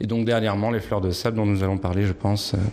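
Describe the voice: The voice moves fast with little pitch movement and a slightly mellow tone. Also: man, fairly low pitch for a man.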